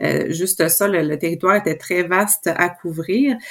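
A woman's normal speaking voice, medium in pitch, with ordinary pitch variation. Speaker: professor. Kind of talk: interview.

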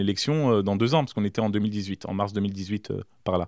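A man speaks at a fairly low pitch. His pitch varies in an ordinary way. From France, Berry (Indre). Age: 30s. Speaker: mayor. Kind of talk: interview. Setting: mayor's office. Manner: halting, frequent repetitions.

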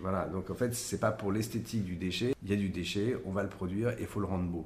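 There is audible room echo as a man speaks at a fairly quick pace. His somewhat breathy voice is fairly low, with ordinary pitch variation. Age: 50s. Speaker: architect. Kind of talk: interview. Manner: halting, with repetitions and fillers.

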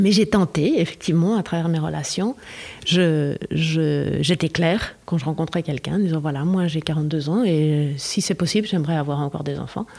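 A woman speaks with a very deep, low pitch at a moderate pace. Her pitch varies in an ordinary way. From Switzerland. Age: 50s. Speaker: actress. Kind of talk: casual chat.

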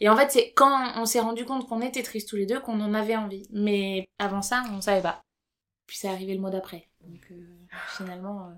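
In a very clean recording with a silent background, a woman with an unremarkable speaking voice and fairly high pitch speaks at a moderate pace, her intonation fairly even and her loudness swinging widely. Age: 30s. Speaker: podcast co-host. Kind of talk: casual chat.

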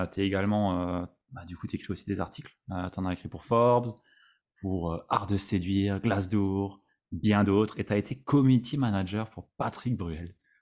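In a plain, everyday voice, a man speaks at a moderate pace with fairly low pitch and fairly even intonation, recorded very cleanly against a silent background. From Alsace, France. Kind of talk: interview podcast.

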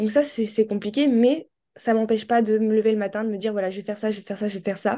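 A woman speaks very fast in a fairly high, dark and mellow voice, with fairly even intonation over a quiet background. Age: 20s. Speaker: person living with ALS. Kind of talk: testimony.

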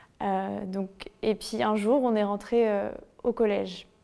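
On a very clean recording with a silent background, a woman speaks in a dark, mellow tone, fairly high in pitch, with monotone, flat intonation. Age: 20s. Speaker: author and former bullying victim. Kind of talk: testimony.

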